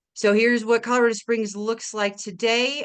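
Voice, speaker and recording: The speaker has a slight Minnesota accent and a moderate pace against a quiet background. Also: woman. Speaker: watershed manager. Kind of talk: webinar presentation. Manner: casual with frequent fillers.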